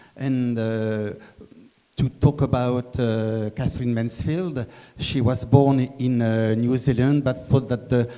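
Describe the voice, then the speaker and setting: The voice has a dark, mellow tone and a French accent. It moves at a fairly slow pace with fairly even intonation. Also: man. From France. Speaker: fellowship organiser. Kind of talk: public talk. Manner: halting.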